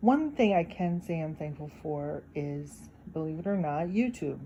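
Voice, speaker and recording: Somewhat breathy and very deep, a woman's low voice moves at a fairly slow pace. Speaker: YouTube talk channel host. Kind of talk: casual reflective talk to viewers. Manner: occasional hesitations.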